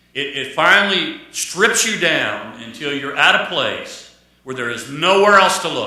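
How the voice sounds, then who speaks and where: High-pitched man at a fairly slow pace, lively intonation, big swings in loudness, audible room echo. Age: 60s. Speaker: pastor. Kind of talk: sermon. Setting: church. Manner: repetitive, restarts phrases.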